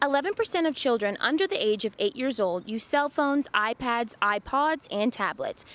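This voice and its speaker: A woman at a moderate pace, her pitch swinging very widely. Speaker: news reporter. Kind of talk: TV news report.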